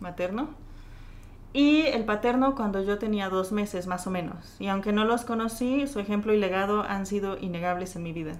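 With a Mexican accent, a woman at a medium pitch speaks at a moderate pace, with audible room echo. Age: 20s. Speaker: churchgoer sharing her faith story. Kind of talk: testimony.

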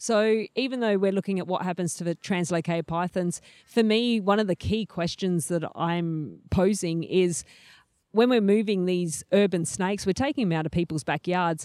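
A woman speaks with an Australian accent at a moderate pace. The sound is dry and close, with no echo. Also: medium pitch for a woman, ordinary pitch variation, very clean recording, silent background. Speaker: PhD student in snake ecology. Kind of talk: casual interview. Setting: outdoors in a wildlife sanctuary.

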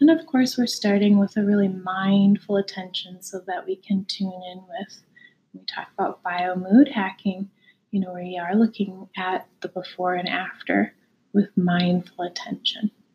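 A woman with a normal speaking voice and a medium pitch shows ordinary pitch variation and big swings in loudness. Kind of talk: guided meditation. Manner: calm, unhurried and soothing; gently conversational, inviting rather than commanding.

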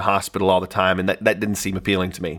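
A man with a Southern US accent and a bright, sharp tone. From US South, Northeast Arkansas. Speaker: chiropractor turned marketing agency owner. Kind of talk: audiobook narration, unscripted-sounding.

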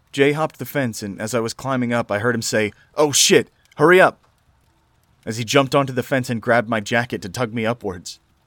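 A man with an ordinary speaking voice talks at a fairly quick pace, his pitch medium with ordinary variation. The sound is dry and close, with no echo. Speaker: horror story narrator. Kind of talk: scripted horror narration, reading aloud Reddit stories. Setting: solo recording for YouTube audio.

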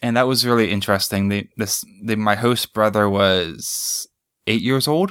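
With an American accent, this is a normal speaking voice at a moderate pace, with ordinary pitch variation, very even loudness, and a very clean recording with a silent background. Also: man, fairly low pitch for a man. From United States. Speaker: English teacher. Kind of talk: interview.

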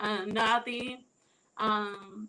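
A woman's bright, sharp, fairly high-pitched voice with monotone, flat intonation. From Puerto Rico. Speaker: wrestling fan. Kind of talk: casual interview. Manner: halting.

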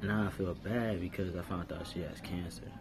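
A man talks in a very deep, low voice with ordinary pitch variation. Audible room echo and noticeable background noise accompany him. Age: 30s. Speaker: podcast host. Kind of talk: casual monologue.

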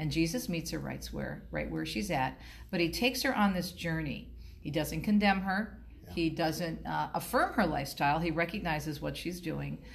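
A woman with an American accent talks at a moderate pace, with audible room echo. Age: 50s. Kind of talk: interview.

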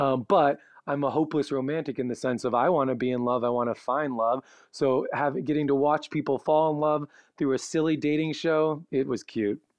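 With an American accent, a man talks in a normal speaking voice at a fairly quick pace, his fairly high pitch carried on fairly even intonation. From Chicago, US Midwest. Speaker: travel blogger. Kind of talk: casual interview.

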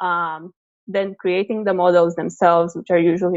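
A woman with a Romanian accent, her intonation flat and monotone. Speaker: PhD researcher in operations research. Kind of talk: interview conversation. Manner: halting, many repetitions and fillers.

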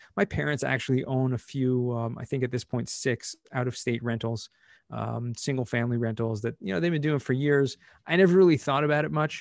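Over a quiet background, a man with an American accent uses a plain, everyday voice at medium pitch, talking at a fairly quick pace with ordinary pitch variation in a dry, close sound with no echo. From US, Southern California. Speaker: cost segregation specialist. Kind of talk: interview.

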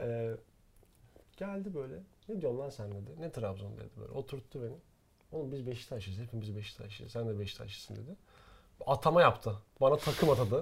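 In a very clean recording with a silent background, a somewhat breathy man at medium pitch takes long, frequent pauses, his loudness swinging widely. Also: lively intonation, fairly quick pace. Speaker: podcast co-host. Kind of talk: casual chat. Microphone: professional recording gear.

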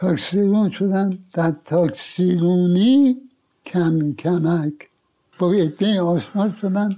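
A man at a high pitch and a very slow pace, with ordinary pitch variation and very even loudness. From Iran, Tehran. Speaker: veteran insurance agent. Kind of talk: life story interview. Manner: halting.

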